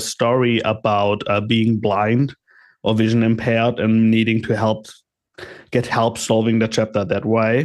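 Here is a man with an ordinary speaking voice at a medium pitch. The background is quiet. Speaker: panelist. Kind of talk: casual chat. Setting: video call.

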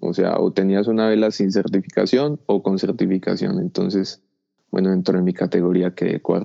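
Keeping his loudness very even, a man speaks at a fairly low pitch. His pace is moderate and his intonation fairly even. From Colombia. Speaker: paraglider pilot. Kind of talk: interview. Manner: halting.

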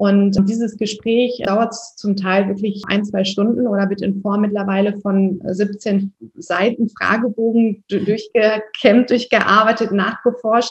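A woman speaks with a somewhat breathy voice and monotone, flat intonation. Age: 30s. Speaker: skin health practitioner. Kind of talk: podcast interview.

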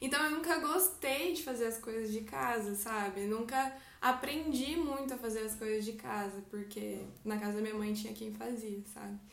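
A woman with a fairly high pitch and lively intonation at a moderate pace, with audible room echo. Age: 20s. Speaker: artist. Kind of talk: casual faith conversation.

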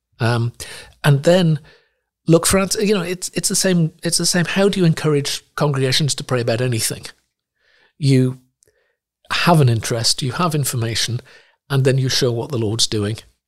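Pausing often and at length, a man talks at a fairly high pitch with a somewhat breathy sound and lively intonation. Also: moderate pace. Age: 60s. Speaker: missionary and Bible translator. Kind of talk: interview. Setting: studio.

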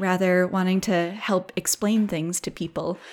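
In a very clean recording with a silent background, a woman with an American accent speaks in a normal speaking voice, her pitch medium and her intonation fairly even. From southeast Minnesota. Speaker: sheep farmer and nonprofit program director. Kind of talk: casual interview.

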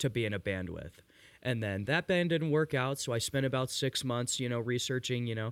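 Ordinary pitch variation marks a normal speaking voice in this very clean recording with a silent background. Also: man, medium pitch for a man. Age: 20s. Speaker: musician in a band. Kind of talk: casual chat. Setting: garage.

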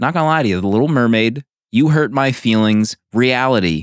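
Lively intonation marks this man's speech, in a Philadelphia accent at a moderate pace. His pitch is medium, and the sound is dry and close with no echo. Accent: Philadelphia-area (Delco). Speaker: podcast co-host. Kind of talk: casual chat.

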